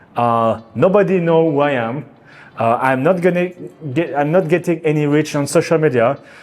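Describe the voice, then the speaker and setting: Music in the background behind a man's fairly high pitch, moderate pace and ordinary pitch variation. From France. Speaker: artist. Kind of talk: casual talk to camera. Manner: halting.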